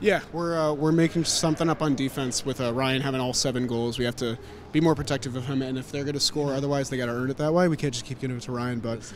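Over light background noise, a man speaks at a very fast pace with ordinary pitch variation, the sound dry with no echo. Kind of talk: sports commentary. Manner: excitable, rapid-fire play-by-play with shouted bursts; animated and cheering. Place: hall. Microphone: handheld.

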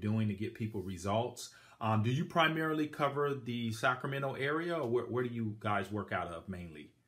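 A man at a fairly quick pace with ordinary pitch variation against a quiet background. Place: home room. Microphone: phone near.

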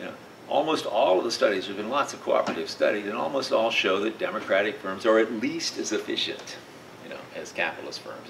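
A man speaks fairly quickly, with noticeable noise audible in the background. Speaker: professor giving a lecture. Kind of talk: lecture. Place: classroom. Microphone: camera far.

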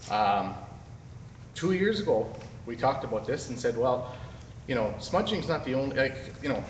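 Over light background noise and audible room echo, a man speaks at a fairly quick pace. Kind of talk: public meeting objection. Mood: critical, earnest. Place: hall. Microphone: phone near.

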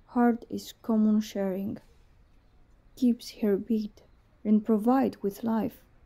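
A woman's fairly high, somewhat breathy voice with a dark, mellow tone, very slow and in a flat monotone. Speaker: poet. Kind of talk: poetry reading.

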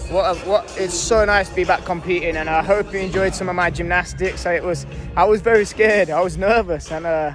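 Someone speaks at a fairly quick pace. The sound is dry with no echo, and clear music plays in the background. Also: man. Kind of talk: casual vlog chat. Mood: happy, relieved after competing. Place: hall. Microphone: phone near.

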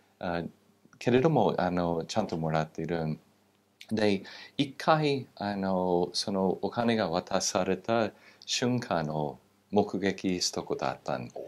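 Very slow in pace, a voice with an English accent carries lively intonation. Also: man, very deep, low pitch for a man. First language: English (speaking Japanese). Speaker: political scientist, former military base official; guest. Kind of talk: interview. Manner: halting, many fillers. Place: studio. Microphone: lapel.

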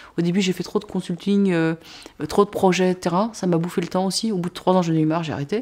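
A woman speaks at a very fast pace in a fairly low, dark, mellow voice with fairly even intonation. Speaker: social entrepreneur; interviewee. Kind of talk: interview testimony. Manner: many false starts and fillers. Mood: reflective, candid. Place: home room.

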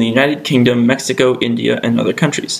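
A man with an American accent speaks at a medium pitch with ordinary pitch variation over noticeable background noise. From Connecticut, US. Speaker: student video maker. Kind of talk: scripted narration.

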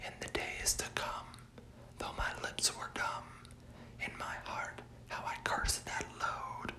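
A very slow whisper broken by long, frequent pauses, with noticeable background noise. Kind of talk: poetry reading, ASMR. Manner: whispered.

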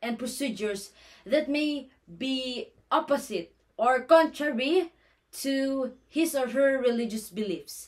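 Against a quiet background, a woman with a Filipino accent talks in a high pitch with lively intonation. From Philippines. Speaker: nursing student. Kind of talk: class presentation. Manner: formal. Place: home room. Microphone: phone near.

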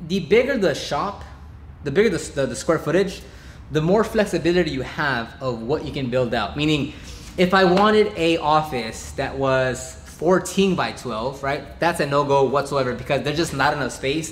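A man at a moderate pace with lively intonation, audible room echo and light background noise. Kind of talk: casual vlog chat. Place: garage.

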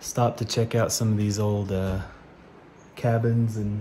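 Over light background noise, a man with a fairly low pitch and a somewhat breathy voice speaks at a fairly slow pace in a monotone, flat way. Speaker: off-road explorer vlogger. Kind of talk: casual vlog chat. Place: workshop. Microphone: phone near.

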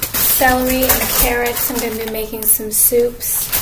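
A woman speaks at a fairly high pitch with little pitch movement, over clear background noise. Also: moderate pace.

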